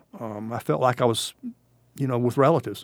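Speaking with a South Carolina accent, a man talks at a medium pitch. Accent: Southern US (South Carolina). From US South, South Carolina (Bamberg County). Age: 60s. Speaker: war veteran. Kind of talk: interview. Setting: studio.

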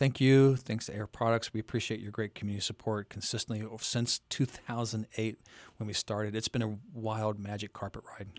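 The voice moves at a moderate pace with monotone, flat intonation. The recording is very clean with a silent background and a dry, close sound with no echo. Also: man, fairly low pitch for a man. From rural area. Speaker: minor league baseball team executive. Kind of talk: radio interview.

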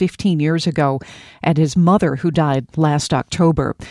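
A woman speaks at a moderate pace with ordinary pitch variation, in an ordinary speaking voice. The sound is dry and close with no echo, on a very clean recording with a silent background. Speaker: radio news anchor. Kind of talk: news reading. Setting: radio studio newscast. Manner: formal, brisk, even-toned newsreader delivery.

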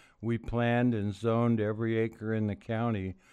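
A man with a Pacific Northwest accent speaks at a fairly slow pace in a monotone, flat intonation against a quiet background. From Oregon, US Pacific Northwest. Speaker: former county commissioner and politician. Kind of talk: interview.

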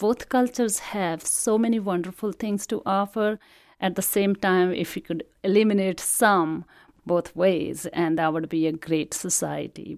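At a fairly slow pace, a woman with an Indian accent speaks in a medium pitch with ordinary pitch variation, on a very clean recording with a silent background. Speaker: immigrant. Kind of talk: personal testimony.

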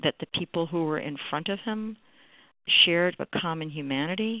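A woman's fairly low voice at a fairly slow pace, a plain, everyday voice. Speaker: law professor. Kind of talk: interview commentary.

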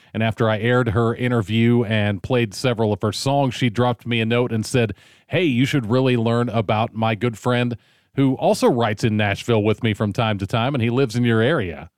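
A man with an ordinary speaking voice, medium pitch, ordinary pitch variation and very even loudness, at a fairly quick pace, on a very clean recording with a silent background. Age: 50s. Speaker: radio host. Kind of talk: radio interview. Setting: studio.

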